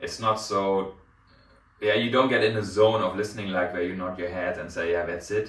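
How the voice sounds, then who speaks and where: A man's fairly low voice with a German accent, with audible room echo. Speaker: hi-fi reviewer. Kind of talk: product review. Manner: hesitant with many fillers.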